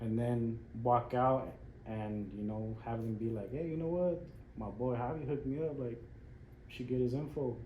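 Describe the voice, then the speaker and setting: Amid audible room echo, a man of medium pitch with an American accent speaks at a moderate pace, somewhat breathy, with ordinary pitch variation. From Las Vegas, US. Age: 30s. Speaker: barber. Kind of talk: casual chat.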